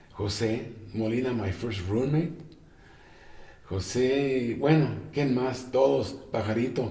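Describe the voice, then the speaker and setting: A man talks at medium pitch and a fairly slow pace, with long, frequent pauses. Audible room echo is present. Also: ordinary pitch variation. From Mexico, Tijuana. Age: 70s. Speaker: jazz guitarist. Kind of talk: interview. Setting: at home.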